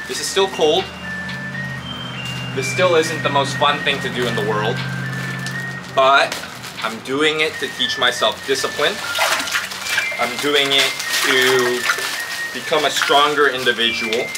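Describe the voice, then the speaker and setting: Music plays in the background as a man speaks with ordinary pitch variation. His speech has long, frequent pauses. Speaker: vlogger. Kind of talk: casual vlog chat. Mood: motivated, philosophical. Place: garden. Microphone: camera far.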